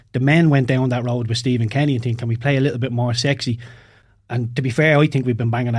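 Speaking at a very fast pace with an Irish accent, a man uses medium pitch and monotone, flat intonation, and sounds somewhat breathy. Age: 30s. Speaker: former professional footballer. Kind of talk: casual chat. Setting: studio.

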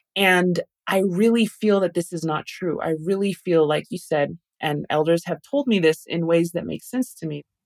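In an ordinary speaking voice, a woman with an American accent talks at a moderate pace, her fairly low pitch showing ordinary variation, in a dry, close recording with no echo. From Taos, New Mexico, US Southwest. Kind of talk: interview conversation.

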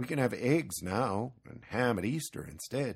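A man puts on a character voice with a medium pitch, a husky, rough edge and vocal fry. His intonation is lively and his pace fairly slow.

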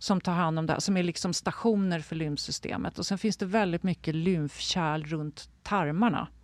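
On a very clean recording with a silent background and a dry, close sound with no echo, a woman with a plain, everyday voice speaks at a moderate pace, fairly low in pitch, with fairly even intonation. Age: 60s. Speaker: health and wellness adviser. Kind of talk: interview conversation.

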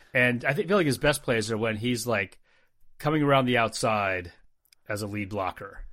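In an American accent, the speaker has a bright, sharp tone, ordinary pitch variation, and a moderate pace on a very clean recording with a silent background. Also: man, medium pitch for a man. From New Jersey. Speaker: sports podcast co-host. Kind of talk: casual chat.

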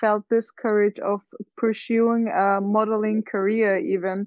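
Here is a woman with an unremarkable speaking voice. Her pitch is fairly high and her pace fairly slow. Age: 20s. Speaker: university student. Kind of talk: group discussion.

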